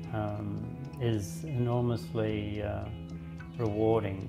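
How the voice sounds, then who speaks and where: Clear music plays in the background as a man talks at a fairly low pitch. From Australia. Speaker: poet and mediator. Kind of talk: interview answer. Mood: warm, smiling, relaxed. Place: home room.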